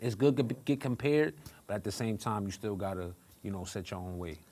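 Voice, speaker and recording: Lively in intonation, a man with an American accent talks at a fairly quick pace on a very clean recording with a silent background. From Brooklyn, New York. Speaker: rapper. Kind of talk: interview.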